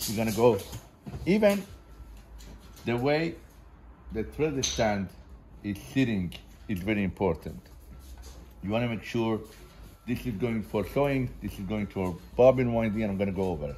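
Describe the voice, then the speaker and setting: With light background noise behind him, a man speaks with lively intonation and long, frequent pauses, his fairly low voice somewhat breathy and dark, mellow in tone. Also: moderate pace. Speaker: sewing machine seller. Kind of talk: tutorial. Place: factory. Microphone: camera far.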